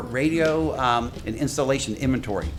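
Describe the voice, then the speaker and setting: There's audible room echo and noticeable background noise behind a man. He speaks fairly quickly at a medium pitch with lively intonation. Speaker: radio system consultant. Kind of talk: technical presentation. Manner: fast.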